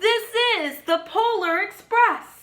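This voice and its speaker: A woman adopts a put-on character voice pitched extremely high. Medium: read story.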